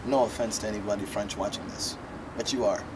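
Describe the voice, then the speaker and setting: A man talks in an American accent. Noticeable background noise can be heard. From Caribbean (Trinidad), raised mostly in Washington DC. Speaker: musician. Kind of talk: interview. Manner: loud; casual.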